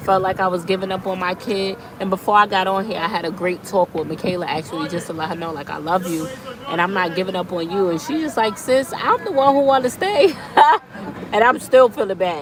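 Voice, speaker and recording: A woman at a medium pitch, fairly quick pace and lively intonation, with crowd noise in the background. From New York City. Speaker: vlogger. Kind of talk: casual chat.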